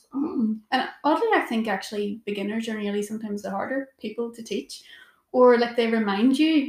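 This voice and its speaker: Speaking in a Northern Irish accent at a fairly quick pace, this voice has big swings in loudness and ordinary pitch variation. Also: woman, fairly high pitch for a woman. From Northern Ireland, Portadown. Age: 20s. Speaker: yoga teacher. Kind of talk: casual chat.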